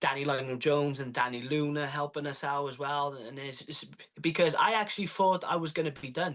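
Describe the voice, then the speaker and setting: A fairly high-pitched man with a Welsh accent. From Wales. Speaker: professional wrestler. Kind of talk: interview answer.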